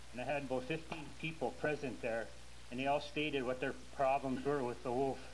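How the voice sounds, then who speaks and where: In an Upper Peninsula Michigan accent, the speaker talks fairly quickly in a monotone, flat intonation, with audible room echo and noticeable background noise. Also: man, medium pitch for a man. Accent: Upper Peninsula Michigan (Yooper). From Upper Peninsula of Michigan. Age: 70s. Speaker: hunter testifying at hearing. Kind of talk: testimony.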